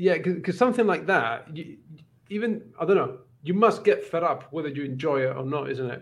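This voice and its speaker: A man talks at a fairly quick pace and a high pitch, his loudness swinging widely. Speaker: book YouTuber. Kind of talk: casual chat. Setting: video call. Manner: self-deprecating, joking.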